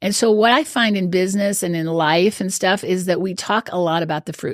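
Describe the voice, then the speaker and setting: Talking at a fairly quick pace, a woman has a Midwestern American accent. Her pitch is medium, with ordinary variation. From US Midwest. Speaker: life coach. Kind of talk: podcast interview.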